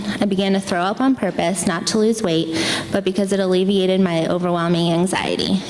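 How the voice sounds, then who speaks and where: A woman talks at a fairly quick pace in an American accent with fairly even intonation. Noticeable background noise runs underneath. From Pennsylvania. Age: 20s. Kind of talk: personal essay reading on stage.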